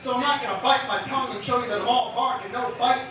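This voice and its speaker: A man's raised, projected voice at an extremely high pitch, fairly quick in pace, over noticeable background noise. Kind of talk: slam poetry performance. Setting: live venue.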